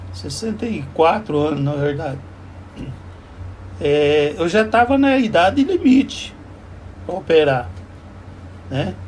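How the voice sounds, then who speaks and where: A man talks at a very slow pace, leaving long, frequent pauses. His pitch swings very widely, and noticeable background noise runs beneath him. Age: 70s. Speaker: vlogger. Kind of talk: casual monologue. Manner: halting.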